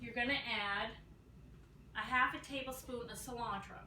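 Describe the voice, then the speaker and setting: A woman at a fairly slow pace, with noticeable background noise and audible room echo. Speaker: home cooking video host. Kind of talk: cooking tutorial. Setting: home kitchen. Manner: loud; casual, with filler ums.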